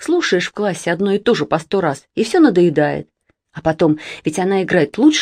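The setting is quiet. A natural voice reads the text aloud.

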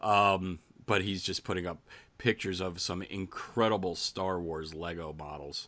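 At a moderate pace with ordinary pitch variation, the voice comes through on a very clean recording with a silent background. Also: man. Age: 50s. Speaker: podcast co-host. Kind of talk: casual chat.

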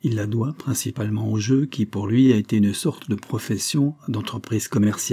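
Here a natural reading voice can be heard.

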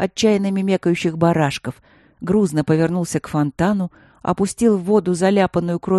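An unforced reading voice. Nothing more is noted.

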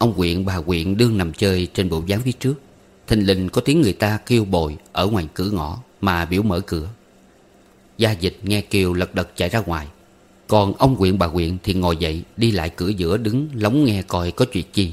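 A man at a moderate pace with a low pitch, a slightly mellow tone and ordinary pitch variation

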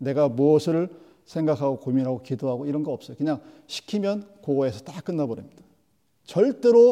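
A man's fairly high-pitched voice at a fairly quick pace, with lively intonation. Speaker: preacher. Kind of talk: sermon. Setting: church. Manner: animated, rhetorical, vivid; direct, exhorting the congregation.

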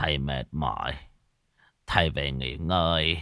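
In a put-on character voice, a man speaks fairly slowly with an extremely low pitch, a bright, sharp tone, vocal fry and ordinary pitch variation, on a very clean recording with a silent background.

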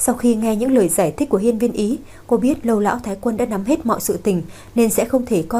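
Someone reads aloud in a natural voice.

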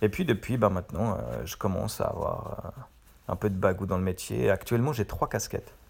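Vocal fry marks a man's fairly low voice as he talks at a fairly quick pace with ordinary pitch variation. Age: 40s. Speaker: web professional and podcaster. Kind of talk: casual monologue. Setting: in bed at home.

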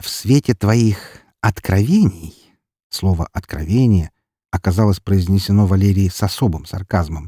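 An unforced reading voice with ordinary pitch variation is heard against a quiet background.

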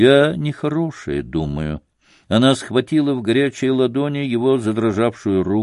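A natural reading voice is heard with a quiet background behind it.

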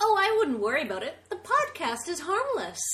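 A put-on character voice, female-sounding, extremely high in pitch, with very wide pitch swings and a fairly quick pace. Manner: creepy, fake-sweet.

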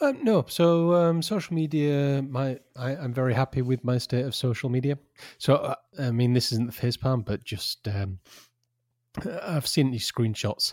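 A man's plain, everyday voice at a medium pitch and a moderate pace, ordinary in pitch variation, with a dry, close sound, no echo and a very clean recording against a silent background. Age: 40s. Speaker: podcast co-host. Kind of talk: casual chat.

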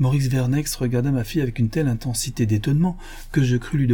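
An unforced reading voice carries the whole clip.

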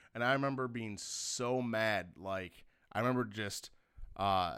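A man's bright, sharp, medium-pitched voice at a moderate pace in a very clean recording with a silent background. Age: 20s. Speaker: podcast co-host. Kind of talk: casual chat.

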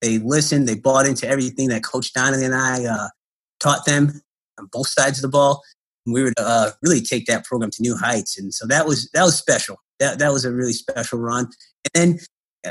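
A man with an American accent and an ordinary speaking voice talks at a fairly quick pace with a fairly high pitch. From Connecticut, US Northeast. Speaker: college basketball coach. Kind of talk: interview.

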